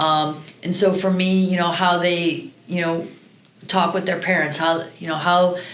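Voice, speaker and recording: A woman with a Midwestern American accent speaks at a fairly slow pace in a fairly low voice, her intonation flat and monotone, with noticeable background noise and audible room echo. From Iowa, Cedar Rapids. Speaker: college volleyball coach. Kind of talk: podcast interview.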